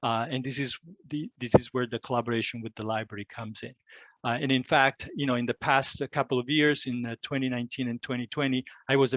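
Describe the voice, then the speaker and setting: A man with an Italian accent, medium pitch, fairly even intonation and a fairly quick pace, against a quiet background. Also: dry, close sound with no echo. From Italy. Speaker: climate educator. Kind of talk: presentation. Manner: halting, many fillers.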